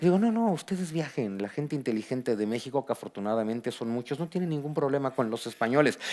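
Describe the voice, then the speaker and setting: A fairly high-pitched man with a Mexican accent, animated in tone, at a fairly quick pace. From Mexico. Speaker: historian and author. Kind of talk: book presentation talk. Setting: auditorium with audience.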